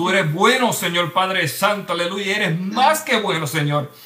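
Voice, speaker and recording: A man's high-pitched voice with ordinary pitch variation over background music. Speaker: church show host. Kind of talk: prayer. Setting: livestream. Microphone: too quiet.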